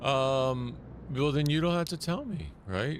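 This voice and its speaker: A man speaks with an American accent. Room echo is audible. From United States. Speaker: gaming streamer. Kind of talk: casual chat. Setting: live stream.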